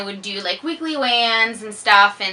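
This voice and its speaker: Over noticeable background noise, a woman with a slight French Canadian accent speaks at a moderate pace in a fairly high pitch with ordinary pitch variation. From Quebec. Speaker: fitness vlogger. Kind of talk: casual chat. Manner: slurs words sometimes.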